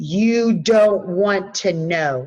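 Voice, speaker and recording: Using a put-on character voice, a woman talks at a medium pitch. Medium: read story.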